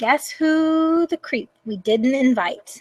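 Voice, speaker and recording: In a put-on character voice, a woman speaks at a very slow pace with a high pitch. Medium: read story. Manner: worried, edgy.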